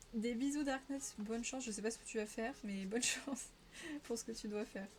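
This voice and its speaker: A woman with a Parisian accent and a fairly high pitch, at a fairly quick pace with fairly even intonation, over music in the background. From Paris region, France. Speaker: streamer. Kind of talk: casual live-stream chat while colouring. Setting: live stream.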